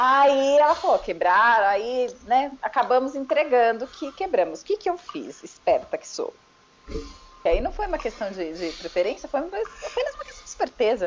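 At a high pitch, a woman talks at a moderate pace with very wide pitch swings. Her loudness shifts in big swings. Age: 30s. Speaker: podcast guest. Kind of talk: casual chat.

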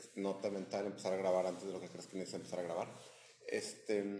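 There is noticeable background noise and audible room echo as a man speaks at a fairly low pitch. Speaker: podcast co-host. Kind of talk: casual chat.

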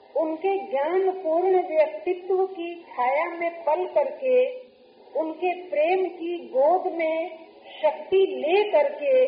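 Audible room echo surrounds a woman whose extremely high voice shows ordinary pitch variation. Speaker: spiritual teacher. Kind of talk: sermon. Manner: slow.

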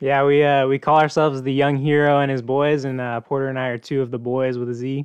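Speaking very fast in an American accent, a man keeps a medium pitch and a monotone, flat intonation. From Oklahoma. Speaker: seminary student. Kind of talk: casual chat.

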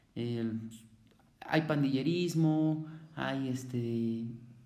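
Speaking in a Mexico City accent, a man uses a fairly high pitch and fairly even intonation, with audible room echo around him. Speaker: former juvenile offender. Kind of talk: testimony. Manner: halting.

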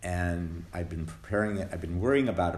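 This man's voice is very deep and low, somewhat breathy, with ordinary pitch variation. He talks at a moderate pace. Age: 60s. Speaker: twelve-step meeting speaker. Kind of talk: testimony. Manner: halting.

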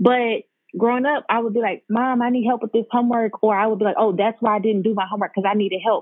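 A woman with an American accent, an unremarkable speaking voice, fairly high pitch and a fairly quick pace. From US Midwest, St. Louis County, Missouri. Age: 20s. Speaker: graphic designer. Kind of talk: casual chat.

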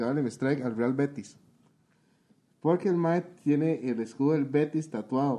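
Here a man speaks at a moderate pace with long, frequent pauses. His voice is fairly high, with ordinary pitch variation and a dark, mellow tone. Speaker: podcast co-host. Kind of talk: casual chat.

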